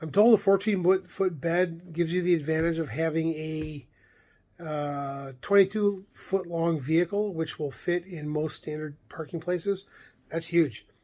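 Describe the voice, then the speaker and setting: A mumbling man with a high pitch, a dark, mellow tone, fairly even intonation and a fairly slow pace. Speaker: vlogger on camping and camper plans. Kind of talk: casual monologue vlog. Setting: recorded late at night. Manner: halting, many fillers.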